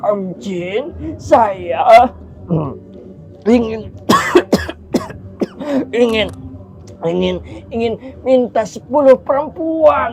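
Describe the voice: A man's shaky, high put-on character voice, very slow and full of long, frequent pauses, over clear background noise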